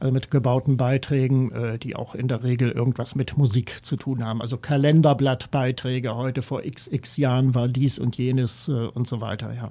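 Fairly even intonation and a moderate pace from a man with a dark, mellow tone. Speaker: radio music journalist. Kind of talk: interview. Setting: studio.

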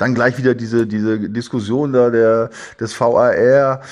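A man with a medium-pitched voice at a moderate pace. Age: 60s. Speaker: former footballer and football pundit. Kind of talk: casual chat. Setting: at home, remote. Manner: halting.

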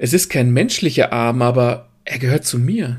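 Somewhat breathy and medium in pitch, a man speaks at a very slow pace on a very clean recording with a silent background. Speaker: narrator reading a short story. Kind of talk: dramatic first-person story narration, read aloud. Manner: vividly expressive, sardonic and breathless in the fight scenes.

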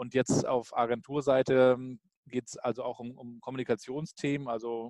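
The sound here is dry and close, with no echo. A man speaks over a quiet background. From Rostock, northeastern Germany. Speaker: blogger and digital communication consultant. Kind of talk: interview.

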